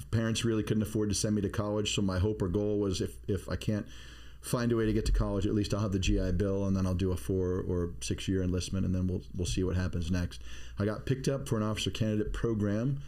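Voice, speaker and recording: A man with a fairly low pitch talks very fast in a dark, mellow tone, with audible echo in the room. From Maine, US (Bath). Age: 50s. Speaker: navy veteran, security expert, podcast co-host. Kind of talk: casual chat. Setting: studio.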